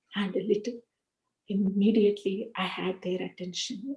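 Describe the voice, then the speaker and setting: Somewhat breathy and with a dark, mellow tone, a woman with an Indian accent speaks at medium pitch and a fairly slow pace with fairly even intonation. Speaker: spiritual speaker. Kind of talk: spiritual talk with personal testimony.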